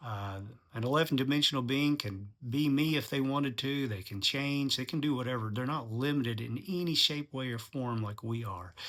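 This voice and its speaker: With a plain, everyday voice, a man speaks at a medium pitch and fairly quick pace, using ordinary pitch variation. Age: 60s. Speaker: channel host, commentator on religion. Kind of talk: monologue commentary. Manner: casual, with frequent fillers.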